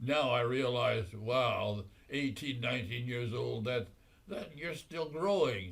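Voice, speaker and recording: With an American accent, a man talks at a very slow pace. His voice is somewhat breathy and his intonation lively. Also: medium pitch for a man. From Nebraska, USA. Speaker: WWII veteran. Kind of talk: oral history interview answer.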